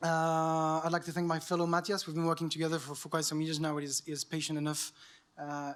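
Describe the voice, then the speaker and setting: A man talks at a very fast pace in a French accent, his fairly high pitch held in a monotone, flat intonation. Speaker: journalist, award winner. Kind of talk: acceptance speech. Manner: halting.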